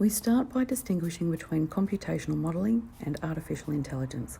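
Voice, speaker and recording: A woman with a very deep, low pitch and a dark, mellow tone speaks fairly quickly, her intonation lively and touched with vocal fry. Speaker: psychology student. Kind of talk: textbook reading. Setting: workplace with outside traffic noise. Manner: unpolished, occasional mistakes.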